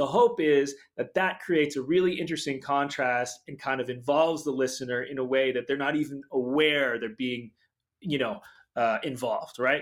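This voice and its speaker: With an American accent, a man with a fairly high pitch uses a normal speaking voice, ordinary pitch variation and a moderate pace, on a very clean recording with a silent background. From Boston area, Massachusetts. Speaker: pianist and film composer. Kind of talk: interview.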